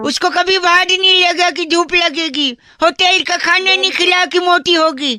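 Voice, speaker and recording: An extremely high voice at a moderate pace, with hardly any pauses. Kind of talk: FM radio jockey. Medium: game stream. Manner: cheeky, teasing.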